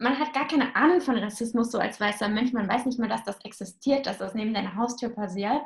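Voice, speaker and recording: The woman's voice sits high in pitch. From Germany, northern Hesse. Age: 20s. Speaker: young mother on parental leave. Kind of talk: casual interview.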